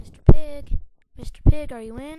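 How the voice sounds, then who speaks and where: A put-on character voice, pitched high, moves along at a moderate pace. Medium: read story. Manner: confiding, persuasive.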